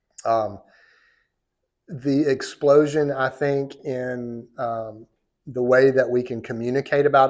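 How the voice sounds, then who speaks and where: A man talks in a Southern US accent at a medium pitch. His intonation is fairly even. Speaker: law professor. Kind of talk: lecture. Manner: casual, conversational.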